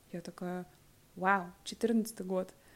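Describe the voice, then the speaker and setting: With a medium pitch, a woman speaks at a very slow pace. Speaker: podcast co-host. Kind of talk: casual conversation.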